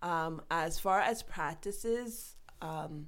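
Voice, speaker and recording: A woman speaks, and there is audible room echo around her voice. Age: 30s. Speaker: vitiligo advocate, foundation founder. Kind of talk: casual interview chat. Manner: laughs a lot.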